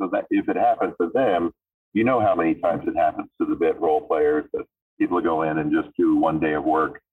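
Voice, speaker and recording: Speaking with an American accent, a man talks at a fairly quick pace. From Florida, US South. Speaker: actor and singer. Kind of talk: casual interview chat. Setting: phone call.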